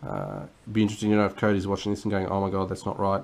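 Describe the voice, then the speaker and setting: A man with an Australian accent and a fairly low pitch. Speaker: board game reviewer. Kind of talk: unboxing video commentary. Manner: halting, many fillers; casual.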